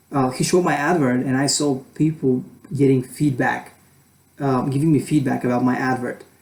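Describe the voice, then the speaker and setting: Speaking at a moderate pace with a non-native accent, a man keeps a medium pitch and fairly even intonation. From Europe. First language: not English. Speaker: student vlogger. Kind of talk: casual vlog advice. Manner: halting, many fillers. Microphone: poor camera quality.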